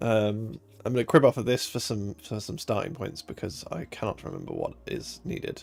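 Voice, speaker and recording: Music plays behind a man whose medium pitch shows ordinary pitch variation. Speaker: software developer live streamer. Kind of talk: live coding stream. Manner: halting, many fillers.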